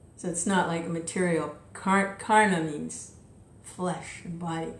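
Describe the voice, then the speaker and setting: With audible room echo in the background, a woman speaks at a medium pitch and a very slow pace. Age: 70s. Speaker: devotional reader and speaker. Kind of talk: spiritual talk. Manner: casual.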